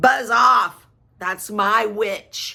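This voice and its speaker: This put-on character voice is croaky, growling and shrill, set at a fairly high pitch. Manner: angry, bellowing.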